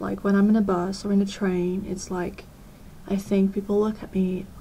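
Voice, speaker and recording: A woman's medium-pitched, somewhat breathy voice with a dark, mellow tone and monotone, flat intonation. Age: 20s. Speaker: vlogger. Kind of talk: personal vlog. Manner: hesitant.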